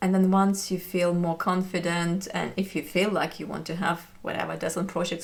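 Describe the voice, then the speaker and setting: A woman's medium-pitched voice with a non-native accent, vocal fry, fairly even intonation and a moderate pace. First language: not English. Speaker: knitting YouTuber. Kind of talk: casual chat. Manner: hesitant, with fillers.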